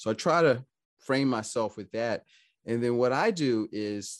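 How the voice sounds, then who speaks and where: Dry and close with no echo over a quiet background, a man speaks in an unremarkable speaking voice at a medium pitch and a fairly slow pace. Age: 50s. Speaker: financial advisor. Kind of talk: interview.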